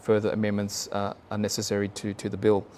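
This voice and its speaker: The pace is fairly quick. The speaker talks with an Australian accent. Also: man. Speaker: government planning official presenting to community council. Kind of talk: presentation. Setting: public meeting room with online audience, no microphone. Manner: halting, many fillers. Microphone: no microphone in room.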